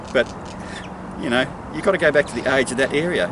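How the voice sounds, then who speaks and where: In an Australian accent, a man talks at a very fast pace over noticeable background noise. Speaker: local political candidate. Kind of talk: political monologue to camera. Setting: outdoors. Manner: animated.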